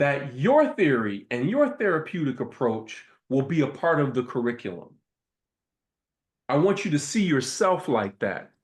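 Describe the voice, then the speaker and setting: With an American accent, this voice is animated and swings very widely in pitch at a moderate pace. The background is quiet. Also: man, fairly high pitch for a man. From US Midwest, Toledo, Ohio. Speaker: professor and invited speaker. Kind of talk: lecture.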